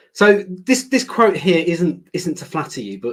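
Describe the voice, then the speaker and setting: A man speaks with a British accent. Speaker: learning director presenter. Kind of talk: webinar presentation. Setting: online webinar.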